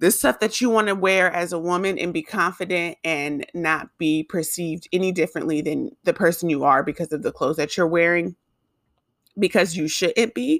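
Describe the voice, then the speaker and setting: A woman speaks in an unremarkable speaking voice, fairly low in pitch, at a moderate pace with ordinary pitch variation. The sound is dry and close, with no echo. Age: 20s. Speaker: podcast host and YouTuber. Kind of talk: casual monologue. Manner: casual, filler-heavy.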